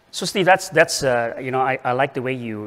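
A man speaks in an ordinary speaking voice at a medium pitch with ordinary pitch variation. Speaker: panel moderator, shipping association executive. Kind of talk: moderated panel discussion. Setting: stage with audience. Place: hall. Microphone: handheld.

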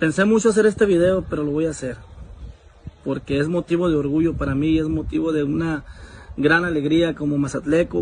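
A man speaks at a moderate pace with fairly even intonation. The sound is dry with no echo, and there is light background noise. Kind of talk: casual vlog chat, opinion. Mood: proud, earnest. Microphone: phone near.

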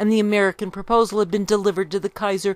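A woman is heard in a dry sound with no echo. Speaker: history reader. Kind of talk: reading aloud from a book. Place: home room. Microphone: studio mic.

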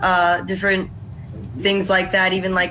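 The voice belongs to a woman. There is some light noise behind her. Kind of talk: casual conversational explanation. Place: home room.

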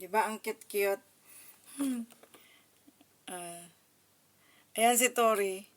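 A medium-pitched woman at a very slow pace, with long, frequent pauses and big swings in loudness. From Davao, Mindanao, Philippines. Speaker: political commentary vlogger. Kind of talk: political commentary vlog. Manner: animated.

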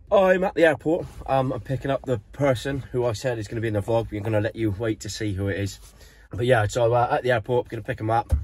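A man talks at a very fast pace. Faint music plays in the background, and the sound is dry with no echo. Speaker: surf van-life vlogger. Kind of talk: casual vlog chat. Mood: a bit hungover but cheerful. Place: car. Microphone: phone near.

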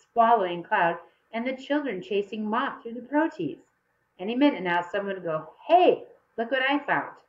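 With lively intonation, the speaker does plain reading aloud over a quiet background.

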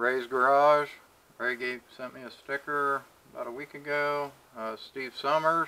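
A man speaks at a fairly slow pace with a fairly high pitch and a bright, sharp tone. His intonation is monotone and flat, yet his loudness swings widely. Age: 50s. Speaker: machinist and video creator. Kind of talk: casual vlog update. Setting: home workshop. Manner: halting, many fillers. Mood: relaxed, thankful.

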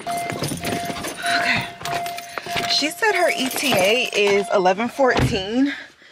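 An animated speaker with an American accent, the pitch swinging very widely. The sound is dry with no echo, over noticeable background noise. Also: woman. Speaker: college student vlogger. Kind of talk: casual vlog chat. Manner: animated, chatty.

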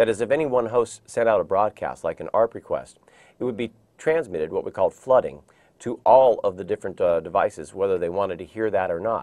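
Very fast speech against a quiet background. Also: man. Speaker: IT training instructor. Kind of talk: lecture. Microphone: lapel.

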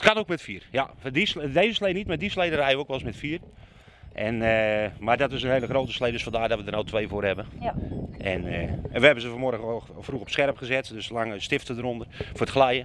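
Over noticeable background noise, a man talks at a fairly quick pace with lively intonation, the sound dry with no echo. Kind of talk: interview answer. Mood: cheerful, proud of tradition. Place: street. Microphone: handheld.

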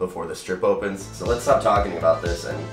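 Amid clear music in the background and audible room echo, a man speaks at a moderate pace. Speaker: vlog host. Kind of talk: casual vlog chat. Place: studio.

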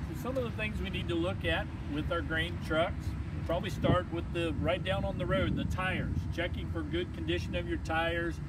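A man at a moderate pace with ordinary pitch variation, dry with no echo, over loud background noise. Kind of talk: tutorial. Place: street. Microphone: camera far.

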